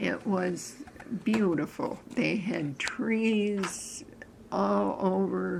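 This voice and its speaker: Against noticeable background noise and audible room echo, a woman speaks at a very slow pace. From upstate New York (Cooperstown). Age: 80s+. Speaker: interviewee, local elder. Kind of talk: oral history interview. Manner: halting, with fillers.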